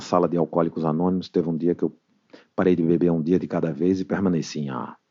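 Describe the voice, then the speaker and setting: With a northeastern Brazilian accent, a man speaks in a very deep, low pitch with fairly even intonation. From Brazil, northeastern family. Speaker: recovering alcoholic, AA member. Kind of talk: testimony.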